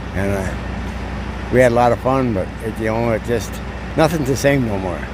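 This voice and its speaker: A man with an American accent talks at a moderate pace and medium pitch. Audible room echo and noticeable background noise surround him. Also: ordinary pitch variation. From Wisconsin. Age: 80s+. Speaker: veteran truck driver. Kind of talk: casual interview. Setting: truck stop.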